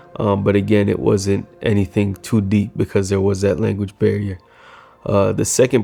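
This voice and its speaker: Music plays behind a man with a fairly low pitch. He talks at a moderate pace in a monotone, flat intonation. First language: Swahili. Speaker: filmmaker. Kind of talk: casual reflective vlog. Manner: hesitant, many fillers.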